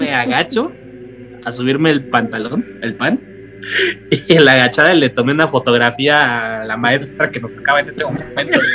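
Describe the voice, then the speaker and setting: A man talks at a moderate pace with a medium pitch and ordinary pitch variation, music playing in the background. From Mexico, Querétaro. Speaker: comedy podcast guest, aspirant in a mock casting. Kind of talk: casual chat, anecdotes.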